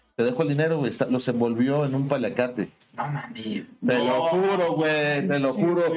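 Noticeable background noise and audible room echo surround a man with a fairly high pitch. He talks at a moderate pace with lively intonation. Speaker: podcast co-host. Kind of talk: casual chat.

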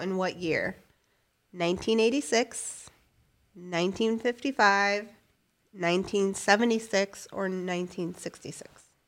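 A woman with an ordinary speaking voice, medium pitch and fairly slow pace, on a very clean recording with a silent background. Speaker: quiz question reader, game show host. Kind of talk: game show host reading quiz questions aloud. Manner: crisp, deadpan, brisk verdicts like 'Correct' and 'Wrong'.

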